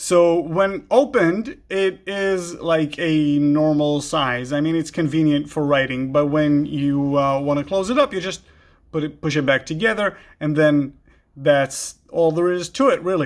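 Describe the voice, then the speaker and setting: On a very clean recording with a silent background, a man speaks in a fairly high voice with an Israeli accent. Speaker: gear YouTuber. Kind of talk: product show-and-tell. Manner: halting, many fillers.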